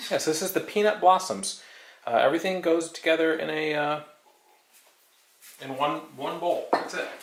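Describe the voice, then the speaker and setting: At a moderate pace, a man with a fairly high pitch and ordinary pitch variation speaks with long, frequent pauses over noticeable background noise. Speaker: arcade channel host baking on livestream. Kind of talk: casual live-stream chat while baking. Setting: at home in kitchen, live stream. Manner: loud.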